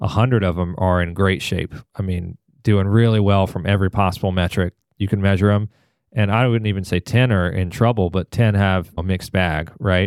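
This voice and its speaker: With a fairly quick pace and fairly even intonation, a man in a fairly low pitch has an ordinary speaking voice, captured in a dry, close sound with no echo on a very clean recording with a silent background. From Georgia, US South (Atlanta). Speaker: downtown development association executive. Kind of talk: podcast interview.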